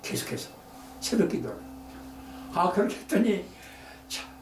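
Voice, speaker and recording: A man's intonation rises and falls in a lively way, with audible echo in the room and noticeable noise behind him. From Korea, Daejeon area. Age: 80s+. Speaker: photographer. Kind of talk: talk to an audience. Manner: halting.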